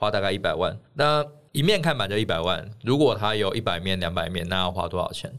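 A plain, everyday voice from a man at a fairly low pitch, on a very clean recording with a silent background. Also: lively intonation, fairly quick pace. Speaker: political candidate. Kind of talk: casual chat.

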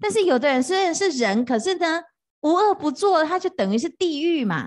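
With very wide pitch swings and an animated tone, a woman speaks at a fairly slow pace against a quiet background. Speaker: Buddhist monastic teacher. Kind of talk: dharma lecture. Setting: retreat hall with live audience. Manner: animated, frequent fillers like 啊 哈 哦.

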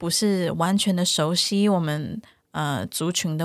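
A woman's unremarkable speaking voice, fairly low in pitch with fairly even intonation, on a very clean recording with a silent background. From Taiwan, Taichung. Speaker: psychologist. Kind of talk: interview.

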